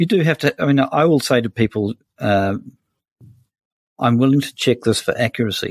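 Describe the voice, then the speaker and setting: Pausing long and often, a man with a New Zealand accent speaks with ordinary pitch variation. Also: medium pitch for a man, moderate pace, dry, close sound with no echo. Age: 60s. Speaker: senior journalist. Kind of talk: interview conversation.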